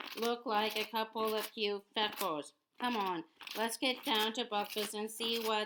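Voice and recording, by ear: Reading aloud in a natural voice, nothing more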